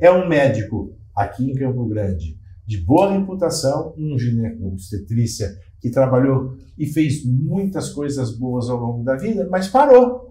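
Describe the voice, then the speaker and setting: A man talks in a somewhat breathy voice with a dark, mellow tone and very wide pitch swings. Audible echo fills the room. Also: medium pitch for a man, fairly slow pace. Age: 60s. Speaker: physician. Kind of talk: panel discussion.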